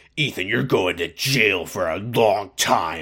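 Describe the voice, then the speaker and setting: A man's growling put-on character voice, fairly low and fairly slow, with lively intonation. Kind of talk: stern.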